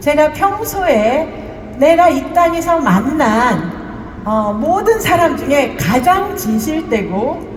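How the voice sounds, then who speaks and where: A woman speaks very slowly in a high pitch, her voice swinging very widely. Noticeable background noise and audible room echo are present. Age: 60s. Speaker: network marketing business leader. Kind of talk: testimony.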